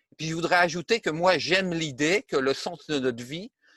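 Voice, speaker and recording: This man has a high voice and talks at a moderate pace. The sound is dry and close with no echo, over a quiet background. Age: 70s. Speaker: retired armament engineer. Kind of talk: interview. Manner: hesitant, many fillers.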